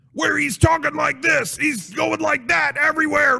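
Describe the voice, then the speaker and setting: A man's raspy, put-on character voice at an extremely high pitch and a moderate pace. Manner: exaggerated, gruff.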